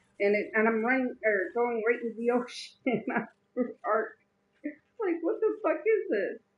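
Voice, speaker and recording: A woman's high-pitched voice has lively intonation. She talks at a fairly slow pace. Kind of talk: casual chat.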